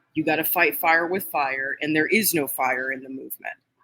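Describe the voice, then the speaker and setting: A woman with an American accent at a fairly quick pace. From California. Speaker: political vlogger. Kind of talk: livestream rant. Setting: restaurant. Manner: loud; animated.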